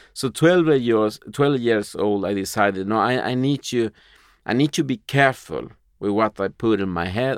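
Against a quiet background, a man with a Spanish accent talks at a moderate pace with ordinary pitch variation. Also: dry, close sound with no echo. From Uruguay, moved to Sweden at nine. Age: 40s. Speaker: entrepreneur and magazine publisher. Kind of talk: interview conversation.

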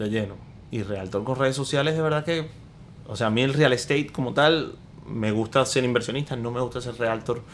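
A man talks at a fairly quick pace in a plain, everyday voice. His pitch is medium, with ordinary pitch variation. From Venezuela (Maracaibo). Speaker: podcast co-host, entrepreneur. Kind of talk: casual chat.

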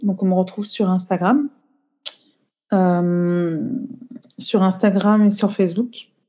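At a very slow pace, a woman talks with a medium pitch and a dark, mellow tone. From Cameroon. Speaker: beauty entrepreneur. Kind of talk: casual interview. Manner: halting, many fillers.

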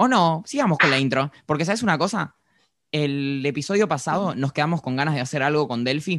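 A man's fairly high voice at a fairly quick pace, with ordinary pitch variation and a quiet background. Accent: Rioplatense. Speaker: podcast host. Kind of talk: casual chat. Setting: video call.

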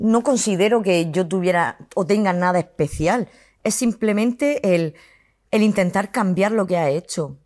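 With very even loudness and ordinary pitch variation, a woman talks at a fairly slow pace in an ordinary speaking voice on a very clean recording with a silent background. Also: medium pitch for a woman. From Spain, Murcia. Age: 40s. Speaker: content creator. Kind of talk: interview.

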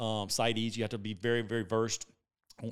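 On a very clean recording with a silent background, a man with a Southern US accent talks at a very fast pace. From South Carolina. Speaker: entrepreneur. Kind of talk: interview.

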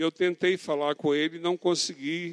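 In a monotone, flat delivery, a man talks with a dry, close sound and no echo. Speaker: pastor. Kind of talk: sermon.

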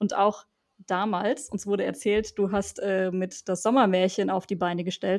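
A woman with a plain, everyday voice, medium in pitch, at a moderate pace and with fairly even intonation. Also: quiet background. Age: 20s. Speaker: student podcast host. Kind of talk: interview.

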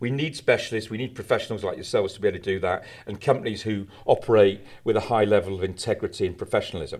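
A man with a British accent, passionate and animated in tone, at a very fast pace. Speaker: campaigner, founder of anti-litter charity. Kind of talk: interview discussion. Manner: passionate, animated.

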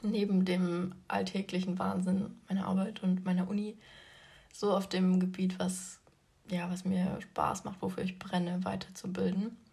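Her voice sits at a medium pitch. There is a somewhat breathy quality to how this woman speaks. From Leipzig, Germany. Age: 20s. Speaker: podcast host and fitness influencer. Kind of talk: casual solo podcast talk.

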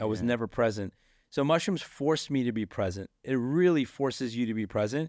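In a medium pitch, a man talks against a quiet background. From US, Texas and Silicon Valley (born in India). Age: 40s. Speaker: tech and marketing entrepreneur. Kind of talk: casual interview chat.

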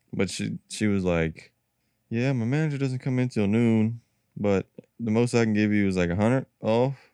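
At a moderate pace and medium pitch, a man speaks in a dark, mellow tone with ordinary pitch variation and a dry, close sound with no echo. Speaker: podcast co-host.

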